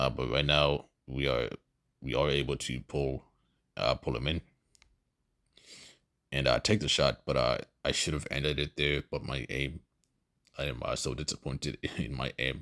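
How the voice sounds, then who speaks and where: With a very deep, low pitch and vocal fry, this man has a bright, sharp tone and pauses long and often. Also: moderate pace. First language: not English. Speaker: gamer. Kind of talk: gameplay voice-over commentary. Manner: hesitant, many fillers.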